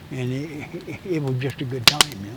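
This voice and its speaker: A man with a rural western American accent speaks with ordinary pitch variation. Noticeable background noise is present. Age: 80s+. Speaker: hunting guide and instructor. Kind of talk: casual chat. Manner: halting, with repetitions and stutters.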